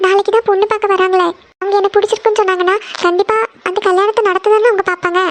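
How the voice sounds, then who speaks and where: A woman in a cartoonish character voice speaks at a very fast pace at an extremely high pitch with monotone, flat intonation. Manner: soft, hesitant, fearful.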